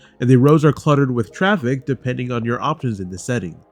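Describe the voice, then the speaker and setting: Very fast speech over music in the background. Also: man. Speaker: gaming YouTuber. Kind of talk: video game review.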